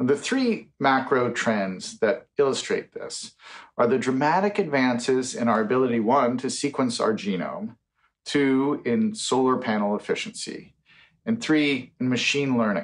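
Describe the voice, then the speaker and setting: Here a man speaks at a fairly slow pace with an American accent. His pitch swings very widely. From United States. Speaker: futurist and science author; speaker. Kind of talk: conference keynote speech. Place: home room.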